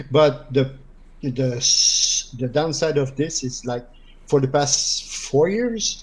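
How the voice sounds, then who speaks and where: At a very slow pace, a man speaks in a French Canadian accent with a fairly high pitch. His voice is somewhat breathy, with ordinary pitch variation. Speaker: gamer interviewed on stream. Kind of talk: casual chat.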